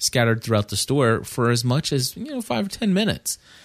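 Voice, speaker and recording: A man with an unremarkable speaking voice talks at a fairly quick pace with lively intonation and a medium pitch, in a very clean recording with a silent background. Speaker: podcast host. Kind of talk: casual chat.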